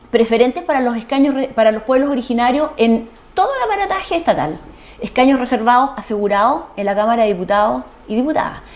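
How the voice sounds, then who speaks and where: Someone talks at a very fast pace with lively intonation over noticeable background noise. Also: woman, high pitch for a woman. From Chile, Ancud (Chiloé). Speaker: lawyer. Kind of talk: TV interview.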